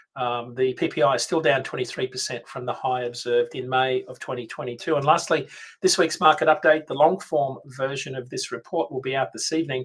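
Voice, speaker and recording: Somewhat breathy and at medium pitch, this man speaks at a fairly quick pace with hardly any pauses. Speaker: freight market analyst. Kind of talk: market update presentation.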